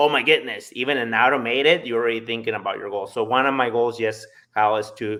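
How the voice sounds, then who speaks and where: A man with a slight Spanish accent, medium pitch and fairly even intonation. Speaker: solar salesperson. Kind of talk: casual interview chat.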